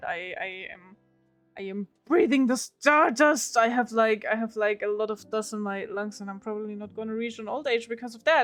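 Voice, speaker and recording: A woman speaks in a fairly high pitch, her loudness swinging widely. Music plays in the background. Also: ordinary pitch variation, moderate pace. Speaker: streamer with a character persona.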